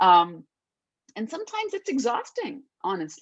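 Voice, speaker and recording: Her voice is a woman's, pitched high. She speaks at a moderate pace. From India. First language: Hindi. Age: 30s. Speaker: actress. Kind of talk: interview.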